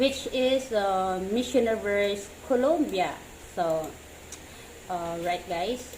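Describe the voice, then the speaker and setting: In a Filipino accent, the speaker talks at a very slow pace with long, frequent pauses and lively intonation, amid noticeable background noise and audible room echo. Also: woman, medium pitch for a woman. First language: Tagalog. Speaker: YouTuber reacting to pageant videos. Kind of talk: reaction commentary. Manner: halting.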